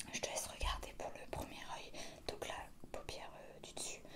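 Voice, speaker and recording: The speaker is whispering at a fairly slow pace. Noticeable background noise is present. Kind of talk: ASMR roleplay, casual talk to camera. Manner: soft, close-up, whispered.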